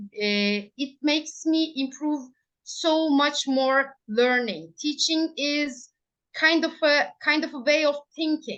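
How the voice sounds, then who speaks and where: At a very slow pace, a woman with a Turkish accent speaks in a high pitch with ordinary pitch variation. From Turkey, Ankara. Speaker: primary school English teacher. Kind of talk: interview. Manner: halting.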